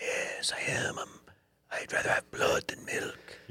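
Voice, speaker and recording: A put-on character voice with a Transylvanian accent, raspy and sinister in tone, speaks at a fairly slow pace in an extremely high pitch. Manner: comical, sinister.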